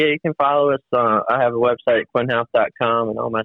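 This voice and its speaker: Here a man has a plain, everyday voice and an American accent. His intonation stays fairly even. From Virginia. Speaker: racing driver. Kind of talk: interview. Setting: phone call.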